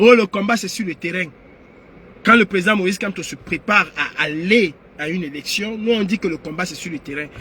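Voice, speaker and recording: This man's voice sits high and is raised and projected. His tone is animated, with ordinary pitch variation. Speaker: political activist livestreamer. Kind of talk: live stream monologue. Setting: online live stream. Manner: loud; animated, raises voice.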